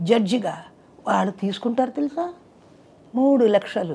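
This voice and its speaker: A woman speaks with a high pitch and lively intonation. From Chennai, India. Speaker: playback singer. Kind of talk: interview answer. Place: home room. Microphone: lapel.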